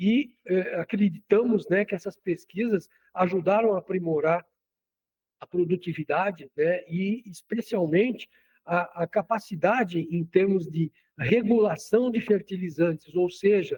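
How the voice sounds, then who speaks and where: With a Cearense accent, a man talks at a fairly slow pace in a high pitch with ordinary pitch variation, the sound dry and close with no echo. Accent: Cearense Northeast Brazilian. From Ceará, Brazil. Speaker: agronomist, soil scientist. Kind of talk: radio interview. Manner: halting, many fillers.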